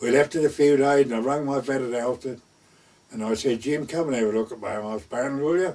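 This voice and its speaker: Ordinary pitch variation marks this fairly quick speech in an East Anglian accent. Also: man, medium pitch for a man. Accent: rural East Anglian dialect. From North Essex/West Suffolk border, England. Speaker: gamekeeper; war veteran. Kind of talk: oral history storytelling. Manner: conversational, lively dialogue.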